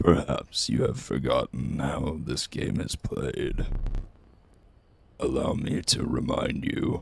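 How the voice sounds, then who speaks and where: A man in a put-on character voice speaks at a fairly slow pace with very deep, low pitch and long, frequent pauses. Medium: role play. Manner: slow, ominous.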